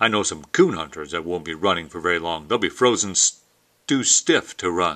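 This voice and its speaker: In a put-on character voice, a man rumbles at a very deep, low pitch and a moderate pace. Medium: read story. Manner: grumbling.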